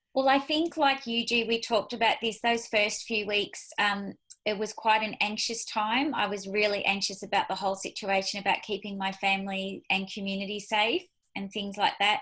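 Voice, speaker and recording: A woman's fairly high-pitched voice with an Australian accent, a bright, sharp tone and ordinary pitch variation. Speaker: business leader. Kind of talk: casual chat. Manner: fast.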